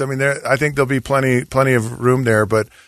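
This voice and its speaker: Over a quiet background, a man with an ordinary speaking voice talks at a fairly quick pace and medium pitch. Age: 50s. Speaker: former college football player and sports podcast co-host. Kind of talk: casual radio interview. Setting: radio studio.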